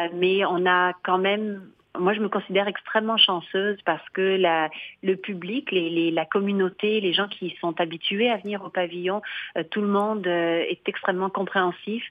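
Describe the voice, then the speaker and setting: This woman speaks at a medium pitch and a moderate pace in a monotone, flat intonation. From France, Limoges. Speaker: arts venue director. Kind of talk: radio interview. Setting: phone call.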